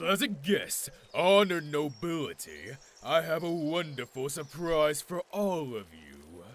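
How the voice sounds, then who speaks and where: A man's put-on character voice, fairly high in pitch, fairly slow, with big swings in loudness. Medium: audio drama. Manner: imperious, curt.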